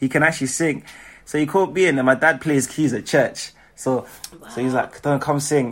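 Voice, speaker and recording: With a British accent, a man speaks in an animated tone at a fairly quick pace and a fairly high pitch. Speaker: singer, songwriter and dancer. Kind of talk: casual interview.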